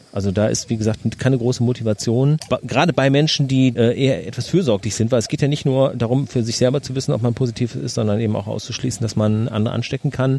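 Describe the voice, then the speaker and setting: Speech comes at a very fast pace with hardly any pauses. Noticeable background noise is present. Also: man, medium pitch for a man, ordinary pitch variation. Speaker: podcast host. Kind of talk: casual chat. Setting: outdoors in a garden.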